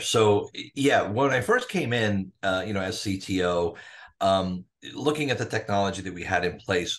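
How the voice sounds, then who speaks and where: An unremarkable speaking voice talks at a fairly slow pace with ordinary pitch variation against a quiet background. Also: man. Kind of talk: interview answer. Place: home room. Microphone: video call.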